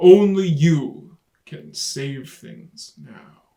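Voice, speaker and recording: Putting on a character voice, a man speaks very slowly at a fairly high pitch. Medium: read story. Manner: solemn, humble.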